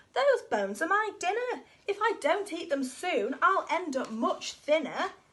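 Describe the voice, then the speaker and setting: This woman's voice is a put-on character. It sits extremely high in pitch. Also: moderate pace. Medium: read story. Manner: cheerful, polite.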